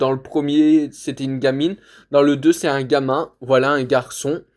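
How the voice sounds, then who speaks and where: A man talks at a fairly slow speed, captured in a very clean recording against a silent background. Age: 20s. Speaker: video collector reviewer. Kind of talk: casual collection showcase. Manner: loud; hesitant, many fillers.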